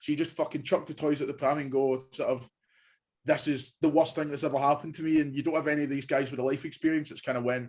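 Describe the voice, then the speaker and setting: Speaking at a very fast pace, a man with a Glaswegian accent keeps a fairly high pitch and monotone, flat intonation in a very clean recording with a silent background. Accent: Glaswegian Scottish. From Scotland, Glasgow. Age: 20s. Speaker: university student. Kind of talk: casual interview.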